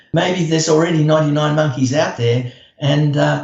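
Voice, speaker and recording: This man's voice sits fairly high in pitch and is somewhat breathy, moving at a moderate pace with ordinary pitch variation. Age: 70s. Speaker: environmental activist. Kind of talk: interview. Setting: podcast. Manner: hesitant, many fillers.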